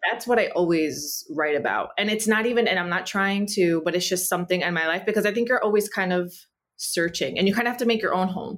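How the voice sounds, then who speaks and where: A woman with a medium pitch and ordinary pitch variation talks at a very fast pace. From US, Cuban American family. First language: Spanish. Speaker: writer and actor. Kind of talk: interview.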